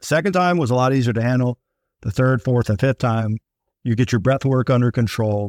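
A man with an ordinary speaking voice talks at a fairly quick pace and medium pitch, with ordinary pitch variation and very even loudness. The very clean recording has a silent background and a dry, close sound with no echo. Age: 50s. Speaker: podcast co-host, army veteran. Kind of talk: casual chat.

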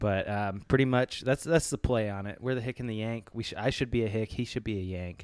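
A man with an American accent speaks at a medium pitch and a fairly quick pace, with ordinary pitch variation and hardly any pauses. The recording is very clean, with a silent background. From Tennessee. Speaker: sports podcast co-host. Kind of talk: casual chat. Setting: at a football game, midfield seats.

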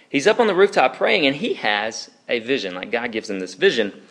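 A man speaks at a moderate pace and fairly high pitch. His pitch swings very widely. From Alabama. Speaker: campus ministry preacher. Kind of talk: sermon. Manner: casual, conversational.

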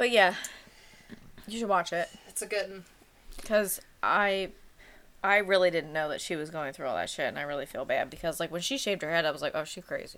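A woman with a medium-pitched voice talks at a fairly quick pace with ordinary pitch variation, broken by long, frequent pauses. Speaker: podcast co-host. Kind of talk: casual chat.

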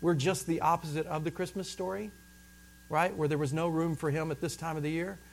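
A man with a normal speaking voice, fairly high in pitch, at a fairly quick pace with fairly even intonation. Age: 40s. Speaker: pastor. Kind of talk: sermon.

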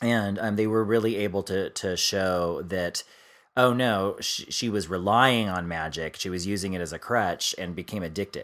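A man's normal speaking voice, fairly low-pitched, with an American accent, fairly even intonation and a moderate pace, on a very clean recording with a silent background. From US East Coast. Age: 40s. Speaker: podcast co-host and author. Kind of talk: casual chat.

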